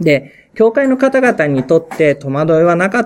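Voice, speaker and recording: A man at a moderate pace with lively intonation. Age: 40s. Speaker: pastor. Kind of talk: talk to fellow pastors. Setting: pastors' meeting. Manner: halting.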